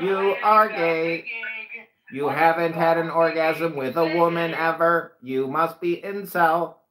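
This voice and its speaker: In a put-on, robotic character voice, a man talks at a fairly slow pace and a fairly high pitch. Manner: monotone, mocking.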